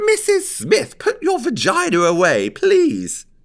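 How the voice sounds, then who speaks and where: An extremely high-pitched put-on character voice. It moves at a fairly slow pace. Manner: squealing, prim.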